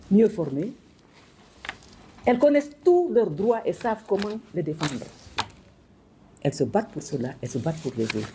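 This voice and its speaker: Speaking with long, frequent pauses over noticeable background noise, a woman uses a fairly low voice that swings very widely in pitch. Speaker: former minister and educator. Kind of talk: speech to an audience. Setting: hall with audience. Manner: fast.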